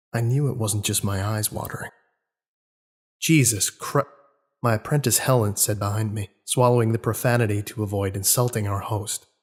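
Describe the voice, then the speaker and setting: A man's fairly low, somewhat breathy voice at a moderate pace. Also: very clean recording, silent background. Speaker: narrator. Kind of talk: dramatic horror audiobook reading.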